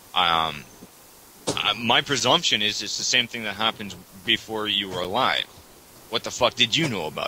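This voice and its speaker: A man with a Canadian accent speaks at a moderate pace in a fairly low voice, his intonation lively. Long pauses come often, and background noise is noticeable. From Canada. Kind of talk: casual debate chat on religion.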